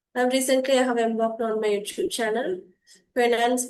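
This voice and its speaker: With ordinary pitch variation, a woman's voice sits high in pitch. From India, Tamil Nadu. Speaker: English learner YouTuber, former lecturer. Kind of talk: casual chat.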